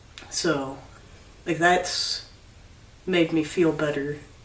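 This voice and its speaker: Through audible room echo and noticeable background noise, a man talks at a fairly slow pace in a fairly high, monotone voice with flat intonation. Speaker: video blogger. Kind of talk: casual chat. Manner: halting.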